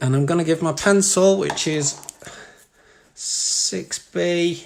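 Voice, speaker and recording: This man has a high voice. His intonation stays fairly even. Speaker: art teacher. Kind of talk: live-streamed drawing tutorial. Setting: live stream from home living room. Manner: fast.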